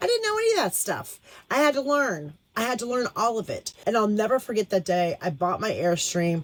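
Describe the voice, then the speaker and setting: Speaking at a fairly quick pace, a woman with a normal speaking voice uses lively intonation at a fairly high pitch. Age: 60s. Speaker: full-time RV nomad, vlogger. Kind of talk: casual talk to camera. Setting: outdoors.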